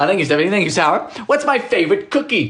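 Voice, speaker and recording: A man at a very fast pace amid noticeable background noise. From Bermuda. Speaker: baking livestreamer. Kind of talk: casual livestream chat. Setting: home kitchen.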